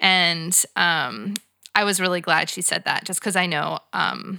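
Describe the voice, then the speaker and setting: In a very clean recording with a silent background, a woman speaks at a fairly slow pace and fairly low pitch, her tone bright and sharp, with ordinary pitch variation and vocal fry. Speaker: podcast co-host and producer. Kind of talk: casual chat.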